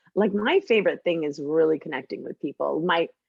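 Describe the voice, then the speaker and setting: A woman speaks with a fairly low pitch and ordinary pitch variation in an animated tone. The sound is dry and close, with no echo. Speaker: podcast host guest. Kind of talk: casual chat. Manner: loud.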